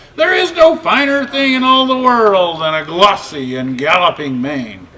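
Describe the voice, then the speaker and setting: A put-on character voice sits at a middle pitch with very wide pitch swings. The pace is moderate. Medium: read story.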